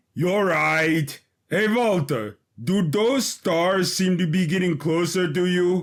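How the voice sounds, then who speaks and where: A man speaks in a put-on character voice, high-pitched for a man, at a fairly slow pace with very even loudness. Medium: audio drama. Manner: soft-spoken, melancholy.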